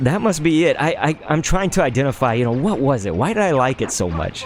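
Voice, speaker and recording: Amid noticeable background noise, a man with a medium pitch speaks in an animated tone. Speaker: gaming streamer. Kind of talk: live gameplay commentary. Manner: casual.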